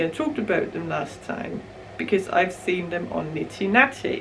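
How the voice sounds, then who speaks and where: A woman's voice with a Danish accent at a moderate pace, amid audible room echo and noticeable background noise. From Denmark. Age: 20s. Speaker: knitting podcaster. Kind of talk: casual chat. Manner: mumbling; hesitant, many fillers.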